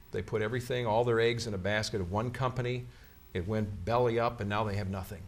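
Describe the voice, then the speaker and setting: With an American accent, a man talks at a fairly quick pace in a medium-pitched, somewhat breathy voice with ordinary pitch variation. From Chicago. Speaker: TV meteorologist and pastor. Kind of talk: interview.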